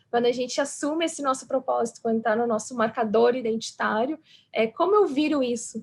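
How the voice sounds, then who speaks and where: A high-pitched woman's voice with a slight southern Brazilian accent. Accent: gaúcho accent, slight. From southern Brazil (Rio Grande do Sul). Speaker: psychologist, diversity and inclusion specialist. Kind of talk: panel interview.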